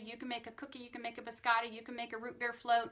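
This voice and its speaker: Over noticeable background noise, the speaker talks at a very fast pace in an enthusiastic, upbeat tone. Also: woman. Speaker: nutrition specialist doing a weekly live Q&A. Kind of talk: live stream Q&A with product talk. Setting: Facebook live stream.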